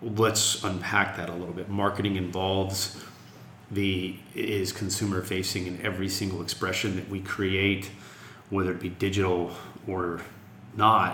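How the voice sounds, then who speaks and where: In a room with audible echo and noticeable background noise, a man with a very deep, low pitch speaks at a moderate pace in a flat monotone. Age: 40s. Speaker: music festival executive. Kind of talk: interview.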